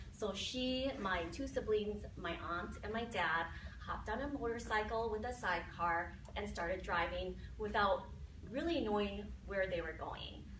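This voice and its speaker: Speaking at a fairly slow pace in a Minnesota accent, a woman is heard with audible room echo and noticeable background noise. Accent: Minnesotan. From Minnesota, US Upper Midwest. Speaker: mindset and success coach. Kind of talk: talk to an audience. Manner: conversational, with filler words.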